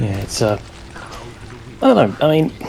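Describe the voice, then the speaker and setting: A man's voice with noticeable background noise. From Britain. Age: 20s. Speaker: computer engineer and gamer. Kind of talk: casual chat while gaming.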